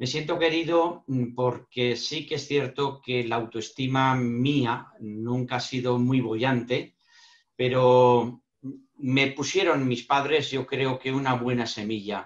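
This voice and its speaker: Fairly even intonation from a man at a very slow pace. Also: medium pitch for a man. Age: 60s. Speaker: lecturer on emotional intelligence. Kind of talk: online panel talk.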